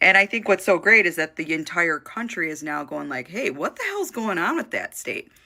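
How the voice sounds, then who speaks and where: The speaker is a woman with an American accent. She keeps a moderate pace with hardly any pauses. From Michigan. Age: 40s. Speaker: social media commentator. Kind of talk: casual vlog. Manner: casual, halting.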